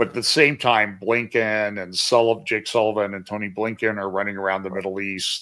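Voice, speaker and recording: In a bright, sharp tone, a man with a fairly low pitch speaks at a moderate pace with monotone, flat intonation. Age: 70s. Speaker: podcast host. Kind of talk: interview.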